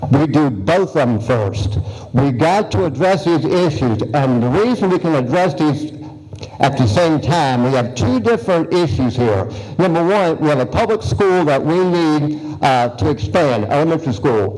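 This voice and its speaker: A man's fairly high voice with an American accent at a moderate pace, lively in intonation and very even in loudness, over noticeable background noise. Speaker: incumbent county supervisor candidate. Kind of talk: campaign speech at candidate forum. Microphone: poor audio recording.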